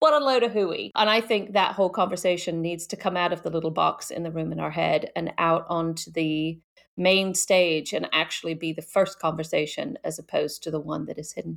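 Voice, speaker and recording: This woman has a fairly low pitch with vocal fry and ordinary pitch variation. She talks at a fairly quick pace with hardly any pauses. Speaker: podcast guest, speaker on potentialism. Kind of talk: casual interview chat.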